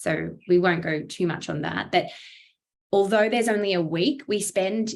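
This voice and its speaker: With a strong Australian accent, a woman speaks at a fairly slow pace and with ordinary pitch variation. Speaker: startup accelerator program lead. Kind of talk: online briefing presentation.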